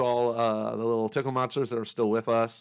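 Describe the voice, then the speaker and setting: In a very clean recording with a silent background, a man speaks at a medium pitch. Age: 40s. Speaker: podcast host. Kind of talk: casual chat. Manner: soft-spoken.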